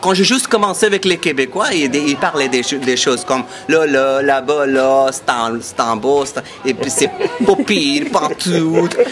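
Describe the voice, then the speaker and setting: With music in the background, a man with a fairly high pitch speaks at a fairly slow pace using lively intonation. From India. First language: an Indian language (speaking French). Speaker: tour guide. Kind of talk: interview, promotional. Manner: halting, many hesitations and repetitions.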